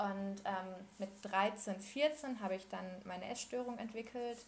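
A woman at a medium pitch, somewhat breathy, with fairly even intonation. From Ruhr area, Germany. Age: 20s. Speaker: medical student. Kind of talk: personal testimony in interview. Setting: Skype call.

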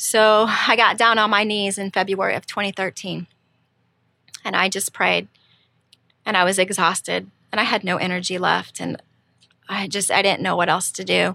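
A woman at medium pitch speaks with a bright, sharp tone and vocal fry. Her moderate pace is broken by long, frequent pauses, and her intonation stays monotone and flat. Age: 40s. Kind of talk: testimony. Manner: hesitant, many fillers.

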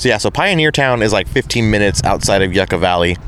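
A man talks at a moderate pace with an American accent. Noticeable background noise sits behind him. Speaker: podcast host. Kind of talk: casual chat. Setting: live at expo event.

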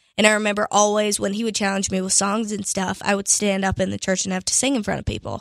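A woman with an American accent speaks very fast, with hardly any pauses. Her medium-pitched voice keeps a fairly even intonation. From Pittsburgh, Pennsylvania. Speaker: country singer. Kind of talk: interview.

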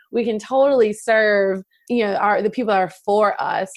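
Against a quiet background, a woman with a slight Midwestern US accent speaks at a moderate pace with ordinary pitch variation. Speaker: wedding photographer and business mentor. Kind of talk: casual interview chat.

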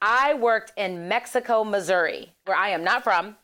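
A woman with an American accent and a fairly high pitch, an ordinary speaking voice, on a very clean recording with a silent background. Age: 30s. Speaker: political organizer. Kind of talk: interview.

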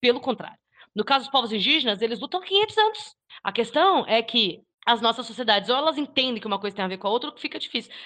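A woman with a Brazilian accent, a fairly high pitch, a very fast pace, and lively intonation. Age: 20s. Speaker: YouTuber and podcaster. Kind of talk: casual discussion.

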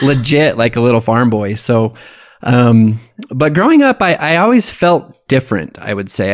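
Speaking with an American accent, a man has an unremarkable speaking voice of medium pitch, with lively intonation and a moderate pace, in a very clean recording with a silent background. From Idaho, US. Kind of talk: casual interview, life story.

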